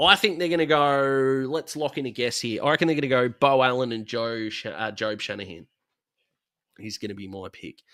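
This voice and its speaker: A speaker with an Australian accent uses lively intonation and a bright, sharp tone at a fairly quick pace, with big swings in loudness. The recording is very clean, with a silent background. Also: man, medium pitch for a man. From Australia, south-east Melbourne. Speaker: football YouTuber. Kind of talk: livestream commentary. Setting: bedroom livestream. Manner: fast; animated.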